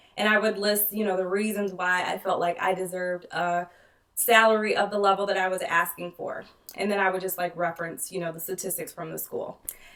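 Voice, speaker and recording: Using a put-on character voice, a woman speaks at a medium pitch and a fairly quick pace, raspy and monotone with flat intonation. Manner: fast-paced, explanatory.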